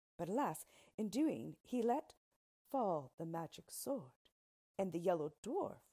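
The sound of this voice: An unforced reading voice with lively intonation, over a quiet background.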